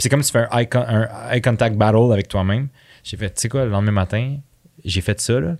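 Recorded very cleanly with a silent background and a dry, close sound with no echo, a man of medium pitch speaks at a fairly quick pace with ordinary pitch variation and long, frequent pauses. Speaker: entrepreneur. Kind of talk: casual chat. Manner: relaxed, soft.

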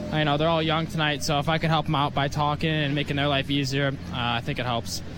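With fairly even intonation, a man talks fairly quickly as music plays in the background. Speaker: hockey defenseman. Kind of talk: post-game interview. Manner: casual, earnest, filler-heavy.

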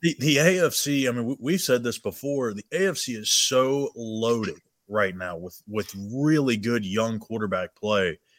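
Speaking with a normal speaking voice at a medium pitch, this man moves at a fairly slow pace with hardly any pauses and lively intonation, recorded very cleanly over a silent background. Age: 20s. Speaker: sports reporter. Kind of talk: casual chat.

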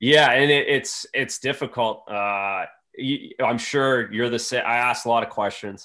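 In a bright, sharp tone, a man of medium pitch talks at a fairly slow pace with fairly even intonation. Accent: Ontario. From Canada, Belleville, Ontario. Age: 40s. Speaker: former pro hockey goaltender and TV analyst. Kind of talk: casual interview.

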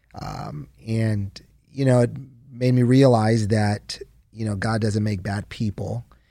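Very clean, silent-background recording of a man with a fairly low pitch, a dark, mellow tone, a somewhat breathy quality, lively intonation and a fairly slow pace. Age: 40s. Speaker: pastor. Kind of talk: interview testimony.

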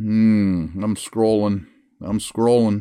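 Recorded very cleanly against a silent background, a man speaks with a fairly low pitch and a dark, mellow tone. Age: 40s. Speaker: NFL football analyst podcast host. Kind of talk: solo podcast commentary. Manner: conversational, casual.

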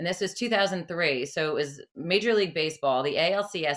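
A woman talks in a fairly low pitch with an American accent and ordinary pitch variation. It is a plain, everyday voice. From New Jersey, near New York City. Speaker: cycle and fitness instructor. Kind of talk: interview.

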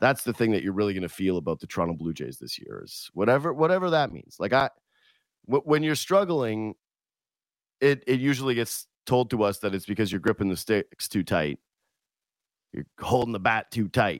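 In a very clean, dry and close recording with a silent background and no echo, a man speaks with very wide pitch swings. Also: medium pitch for a man, fairly quick pace. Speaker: sports radio host. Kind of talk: casual sports talk show.

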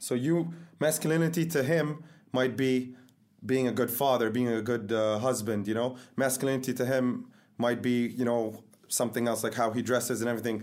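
In a room with audible echo, a man at a medium pitch speaks at a fairly quick pace with fairly even intonation and very even loudness. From Dubai. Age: 20s. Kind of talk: casual chat.

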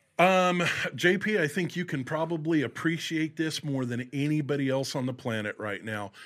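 A man with an unremarkable speaking voice, fairly high pitch, moderate pace and lively intonation, in a very clean recording with a silent background. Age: 50s. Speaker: former radio host, weather website operator. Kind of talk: casual chat.

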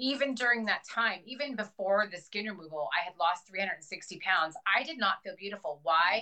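A woman with an unremarkable speaking voice at a medium pitch talks at a moderate pace with hardly any pauses. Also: lively intonation. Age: 40s. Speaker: weight loss surgery patient. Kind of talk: interview.

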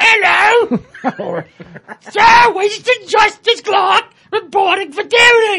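Shouting and bellowing in a put-on character voice with a British accent, a female-sounding voice goes extremely high in pitch at a very slow pace. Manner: exaggerated, bellowing, angry.

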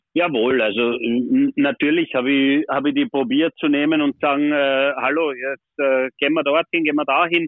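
A man speaks in an ordinary speaking voice, fairly high in pitch, with fairly even intonation. His pace is moderate, his loudness very even, and he hardly pauses. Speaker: former ice hockey goalie, player agent. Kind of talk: casual interview. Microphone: poor sound quality.

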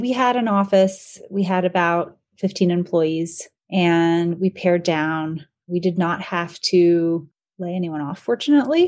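Dark, mellow tones from a woman with an American accent, medium pitch and ordinary pitch variation, over a quiet background. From North Carolina, US. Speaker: startup founder and CEO. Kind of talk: interview.

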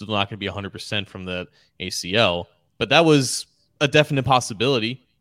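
On a very clean recording with a silent background and a dry, close sound without echo, a man talks at a fairly quick pace in a plain, everyday voice with ordinary pitch variation. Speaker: sports analyst. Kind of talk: casual sports talk.

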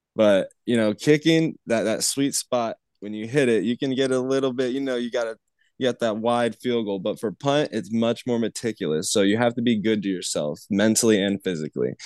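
An unremarkable speaking voice: a man of medium pitch talks at a fairly quick pace with ordinary pitch variation, in a dry, close sound with no echo against a quiet background. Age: 20s. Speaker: special teams coach, former college kicker. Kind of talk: casual interview chat.

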